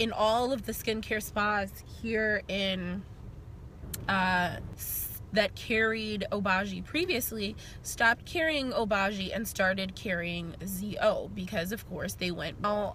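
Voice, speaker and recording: A woman speaks at a very slow pace in a bright, sharp tone. The sound is dry with no echo, over light background noise. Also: ordinary pitch variation. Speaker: beauty vlogger. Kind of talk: casual vlog chat. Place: car. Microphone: phone near.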